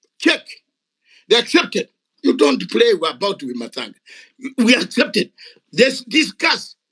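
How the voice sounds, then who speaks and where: With a raised, projected voice, a man speaks at a moderate pace in an extremely high pitch, his tone animated, bright and sharp. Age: 60s. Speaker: retired soldier and activist. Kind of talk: heated debate. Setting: online audio room.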